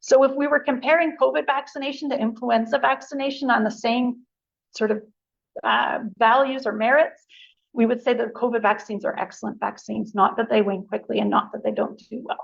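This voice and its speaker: This woman's fairly high voice carries vocal fry, ordinary pitch variation and a fairly quick pace. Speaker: immunology researcher and lecturer. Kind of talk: lecture. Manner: fast.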